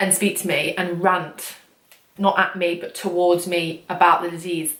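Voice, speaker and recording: A woman is speaking. She has an English accent. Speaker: vlogger. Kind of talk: casual vlog talk. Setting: at home late at night. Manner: quiet; fast.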